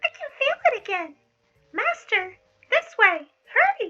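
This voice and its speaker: A squeaky put-on character voice at an extremely high pitch, at a fairly slow pace. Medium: read story. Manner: excitable, stammers when scared.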